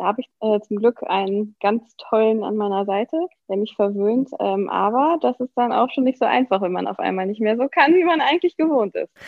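A woman speaks in an ordinary speaking voice. Her pitch is fairly high and her pace moderate. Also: lively intonation. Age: 30s. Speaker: pregnant guest. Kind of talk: casual interview.

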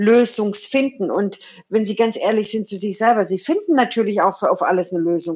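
This woman uses a normal speaking voice. Her pitch is medium and varies in an ordinary way. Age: 50s. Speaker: business coach and podcast host. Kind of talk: conversational interview.

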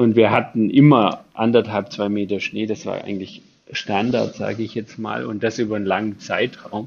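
A man's fairly low-pitched voice with fairly even intonation at a moderate pace. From Allgäu, southern Germany. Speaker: company owner. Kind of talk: interview. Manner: halting, many fillers.

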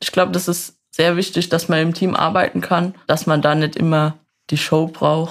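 A woman with an ordinary speaking voice and a fairly low pitch talks at a moderate pace on a very clean recording with a silent background. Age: 20s. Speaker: vehicle mechatronics technician. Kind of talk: interview.

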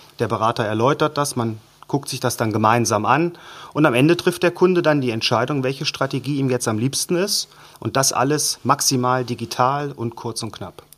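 A man's normal speaking voice at medium pitch, with ordinary pitch variation and a moderate pace. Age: 30s. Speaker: bank wealth management head. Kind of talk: interview explanation.

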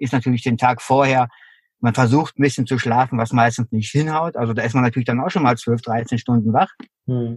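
Somewhat breathy, a man with a medium-pitched voice talks at a fairly quick pace with fairly even intonation, the sound dry and close with no echo. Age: 50s. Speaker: endurance athlete. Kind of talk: interview.

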